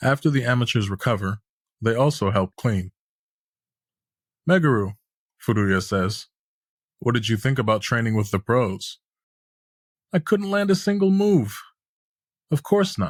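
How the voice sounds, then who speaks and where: On a very clean recording with a silent background and a dry, close sound with no echo, a somewhat breathy man speaks with very wide pitch swings, very even loudness and long, frequent pauses. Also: medium pitch for a man, moderate pace. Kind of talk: scripted audio series narration of a manga recap.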